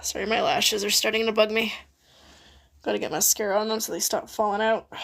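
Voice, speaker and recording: This woman speaks with vocal fry at a moderate pace, her fairly high pitch broken by long, frequent pauses. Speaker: livestreamer. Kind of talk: casual livestream chat. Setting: live stream at home. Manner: stuttering; rambling, jibber jabbering.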